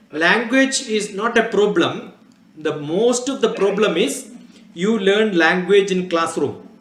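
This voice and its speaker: Amid noticeable background noise and audible room echo, a man with a Keralan accent speaks at a fairly slow pace in a high pitch. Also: ordinary pitch variation. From Kerala, India. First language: Malayalam. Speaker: scientist. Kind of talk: talk to students.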